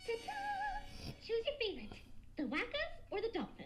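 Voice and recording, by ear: A woman puts on a squeaky, cartoonish character voice at an extremely high pitch, talking at a moderate pace over clear background noise.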